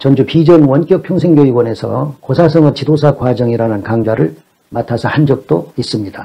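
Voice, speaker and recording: A man with a fairly high pitch speaks at a moderate pace, his voice somewhat breathy and swinging very widely in pitch. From South Korea, Jeolla (Gunsan/Jeonju). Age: 60s. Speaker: Chinese classics lecturer. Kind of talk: lecture. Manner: formal.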